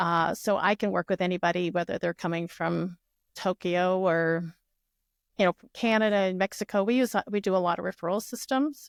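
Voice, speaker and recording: On a very clean, dry, close recording with a silent background and no echo, a woman with an unremarkable speaking voice talks at a fairly quick pace and medium pitch, with ordinary pitch variation and big swings in loudness. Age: 60s. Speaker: real estate agent. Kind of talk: podcast interview.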